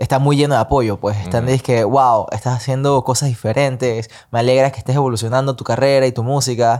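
A man's monotone, flat intonation is captured on a very clean recording with a silent background. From Panama. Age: 20s. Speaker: singer and independent artist. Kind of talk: casual chat.

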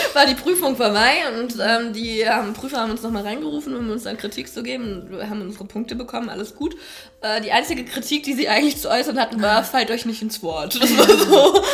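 Lively intonation and big swings in loudness come at a fairly quick pace over noticeable background noise. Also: woman, fairly high pitch for a woman. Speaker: longtime friend of the host. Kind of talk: casual chat.

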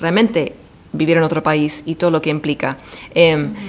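A woman with an Argentine accent talks at a fairly quick pace. Noticeable background noise is present. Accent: Argentine Spanish, near native. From US, Washington DC. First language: English (speaking Spanish). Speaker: podcast guest. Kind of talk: casual chat.

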